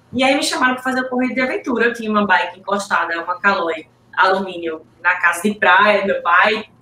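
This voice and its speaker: A woman with a medium pitch speaks with lively intonation against noticeable background noise. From Pernambuco, Brazil. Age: 40s. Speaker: triathlete. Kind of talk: interview.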